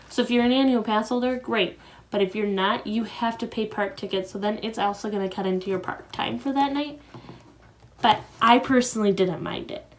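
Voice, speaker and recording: A fairly quick voice in an American accent with ordinary pitch variation, amid noticeable background noise. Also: woman, fairly high pitch for a woman. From US Midwest, Wisconsin. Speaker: vlogger. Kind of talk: casual vlog talk to camera. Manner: casual, hesitant with fillers.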